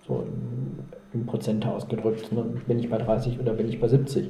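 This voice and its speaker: There is audible room echo and noticeable background noise as a man speaks at a medium pitch with fairly even intonation. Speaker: psychologist. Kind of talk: interview.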